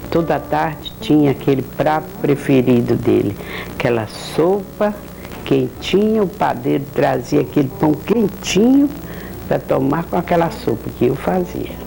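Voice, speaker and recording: The speech moves at a fairly slow pace with very even loudness, set against noticeable background noise. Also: woman. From Sergipe, Brazil. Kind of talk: reminiscing life story on home video. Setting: VHS home recording.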